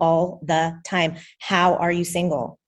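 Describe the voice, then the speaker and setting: Somewhat breathy, a woman talks at a fairly low pitch. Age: 30s. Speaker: coaching client. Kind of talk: interview. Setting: video call.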